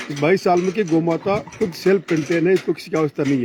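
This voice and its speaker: A man talks at a high pitch with ordinary pitch variation. Noticeable background noise sits behind him. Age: 70s. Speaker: retired army officer and cow shelter caretaker. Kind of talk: interview.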